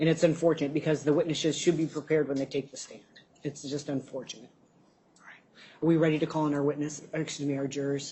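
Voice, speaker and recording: Speaking very fast in a very deep, low pitch, a woman sounds somewhat breathy, with flat, monotone intonation and big swings in loudness. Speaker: judge. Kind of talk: courtroom proceedings. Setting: courtroom.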